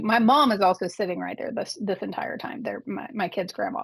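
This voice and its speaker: Talking at a moderate pace with an American accent, a woman has an ordinary speaking voice, a fairly high pitch and lively intonation. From Arkansas, US South. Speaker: advocate, former librarian. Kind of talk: interview.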